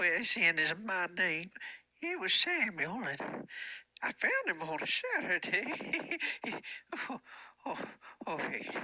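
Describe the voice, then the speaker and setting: A man performs a put-on character voice at a fairly slow pace. His pitch swings very widely. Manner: halting, rambling.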